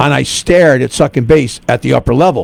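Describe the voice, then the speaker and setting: A man talks at a fairly quick pace with a New York accent. The sound is dry and close, with no echo. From New York (Bronx). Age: 60s. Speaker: radio host. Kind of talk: casual chat.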